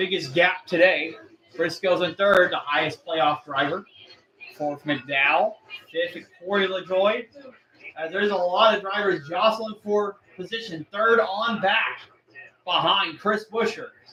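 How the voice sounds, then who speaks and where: A man's raised, projected voice, high in pitch, with ordinary pitch variation and a fairly slow pace. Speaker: livestream race commentator. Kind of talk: live commentary. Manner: loud; animated.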